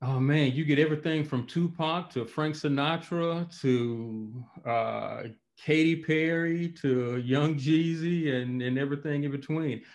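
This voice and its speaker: A man's fairly high voice in an Alabama accent, fairly even in intonation and fairly slow in pace. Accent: Southern US, Alabama. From Montgomery, Alabama. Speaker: professor and author. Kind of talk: interview conversation. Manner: casual, conversational.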